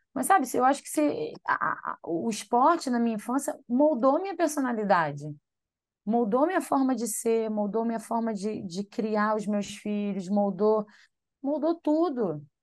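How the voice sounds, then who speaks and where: Against a quiet background, a woman speaks fairly slowly in a fairly high pitch, her voice swinging very widely in pitch. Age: 30s. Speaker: triathlete. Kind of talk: podcast interview.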